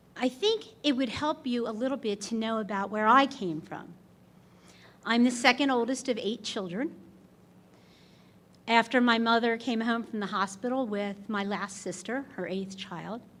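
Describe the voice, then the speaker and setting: On a very clean recording with a silent background, a woman with a fairly high pitch and ordinary pitch variation talks at a moderate pace, leaving long, frequent pauses. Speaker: hall of fame inductee. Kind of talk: acceptance speech. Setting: stage with audience. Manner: loud.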